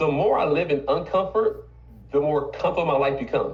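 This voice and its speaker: Animated and fairly quick, a man talks in a room with audible echo. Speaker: business owner and team trainer. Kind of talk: motivational team meeting talk. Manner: fast.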